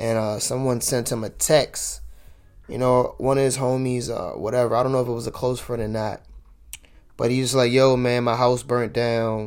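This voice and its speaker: This man speaks at a moderate pace and medium pitch, his intonation monotone and flat. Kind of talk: casual monologue. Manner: conversational, many fillers.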